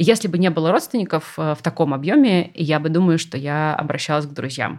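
In a very clean recording with a silent background, a woman with a very deep, low pitch talks at a fairly quick pace with ordinary pitch variation. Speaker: art historian and lecturer. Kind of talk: casual chat.

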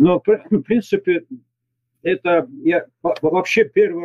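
A man with a high pitch and lively intonation. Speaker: retired military commander, expert. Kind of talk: recorded interview answering questions. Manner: halting, with stumbles.

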